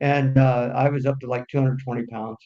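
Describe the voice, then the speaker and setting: Someone talks at a fairly quick pace with an American accent and monotone, flat intonation. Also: man. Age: 60s. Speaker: business aviation executive. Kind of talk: interview. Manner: halting.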